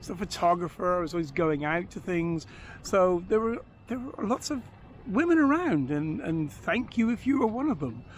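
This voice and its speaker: His pitch high and swinging very widely, a man speaks at a moderate pace. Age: 60s. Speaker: vlogger living on a boat. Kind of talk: casual monologue vlog. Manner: halting, many fillers.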